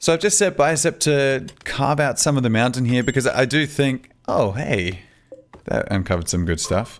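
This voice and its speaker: On a very clean recording with a silent background, a man with an Australian accent talks in a relaxed tone at a moderate pace. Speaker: gaming YouTuber. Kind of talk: gameplay commentary. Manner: casual, relaxed.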